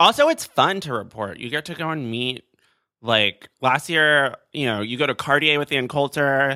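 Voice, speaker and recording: An ordinary speaking voice, this man's is fairly high in pitch, with ordinary pitch variation and a moderate pace. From South Florida. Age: 20s. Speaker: podcast guest. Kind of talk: casual chat.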